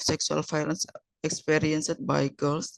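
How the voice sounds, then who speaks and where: A woman with an Indonesian accent, very deep and low in pitch, at a moderate pace, in a dry, close sound with no echo. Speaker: researcher. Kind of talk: conference presentation. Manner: halting.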